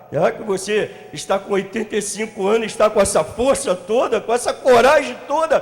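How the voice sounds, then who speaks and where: The speaker talks at a moderate pace with lively intonation. Noticeable background noise is present. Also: man. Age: 50s. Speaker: pastor. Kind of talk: sermon. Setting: church congress with audience.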